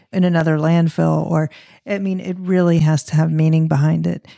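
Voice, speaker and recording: In a dry, close recording with no echo and a very clean, silent background, a woman speaks at a fairly quick pace with a very deep, low pitch, monotone, flat intonation and a dark, mellow tone. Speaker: interior design podcast host. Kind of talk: interview, casual conversation.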